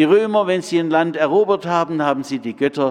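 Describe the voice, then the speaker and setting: A man in a normal speaking voice, fairly high-pitched, at a moderate pace with lively intonation. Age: 60s. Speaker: preacher. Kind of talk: sermon.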